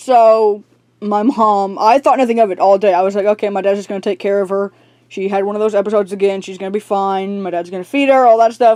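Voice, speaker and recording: Talking very fast, a woman keeps a medium pitch, a dark, mellow tone and fairly even intonation. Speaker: YouTuber. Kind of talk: personal vlog, emotional storytelling. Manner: nervous laughing to hold back tears.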